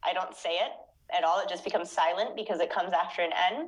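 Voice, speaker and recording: With an American accent, a woman talks at a fairly quick pace and medium pitch in a plain, everyday voice. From United States. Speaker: native-speaker guest. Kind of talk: tutorial.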